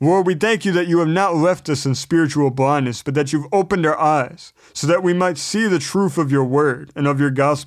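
A man's normal speaking voice, fairly high in pitch, at a fairly quick pace with hardly any pauses, very even loudness and ordinary pitch variation. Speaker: Bible teacher. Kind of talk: Bible study lesson with scripture reading; earnest spoken prayer, reverent and pleading. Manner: earnest, sincere, measured; fervent, heartfelt, reverent prayer tone.

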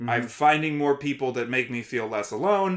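An unremarkable speaking voice from a man with a fairly high pitch moves at a fairly quick pace with ordinary pitch variation, on a very clean recording with a silent background. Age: 30s. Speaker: podcast host and war veteran. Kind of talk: casual chat.

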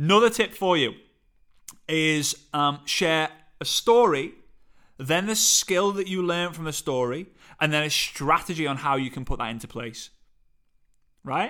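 With a Liverpool accent, a man speaks at a fairly high pitch and a fairly slow pace, his bright, sharp, animated tone broken by long, frequent pauses on a very clean recording with a silent background. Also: lively intonation. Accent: Liverpool (Scouse) English. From England, Liverpool. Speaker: podcast host and motivational speaker. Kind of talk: solo podcast monologue, coaching tips.

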